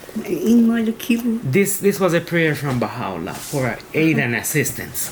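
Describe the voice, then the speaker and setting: A man with a Spanish accent, very wide pitch swings and a fairly slow pace, over noticeable background noise. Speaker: teacher leading a devotional. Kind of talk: prayer reading and devotional commentary.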